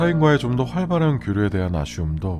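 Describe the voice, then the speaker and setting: With music in the background, a man speaks in a soothing, calm tone with very wide pitch swings. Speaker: radio-style host / voice actor narrator. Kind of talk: late-night radio monologue, personal reflective talk. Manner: soothing, soft, calm, sleep-aid tone.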